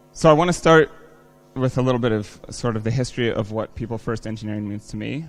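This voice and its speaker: Music plays behind a man with an American accent who talks at a very fast pace in a medium pitch. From United States. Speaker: software engineer, conference speaker. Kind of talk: conference talk. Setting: stage with audience. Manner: casual, many fillers.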